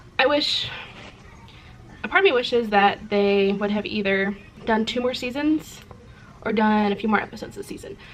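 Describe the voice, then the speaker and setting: Amid noticeable background noise, a woman with a fairly high pitch and ordinary pitch variation speaks with long, frequent pauses. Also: moderate pace. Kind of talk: casual talk to camera.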